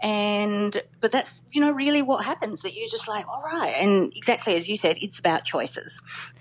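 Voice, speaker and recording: Talking in an Australian accent, a woman keeps a moderate pace with hardly any pauses. Her fairly high pitch moves in very wide swings. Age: 40s. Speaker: journalist, former lawyer. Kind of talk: personal story interview.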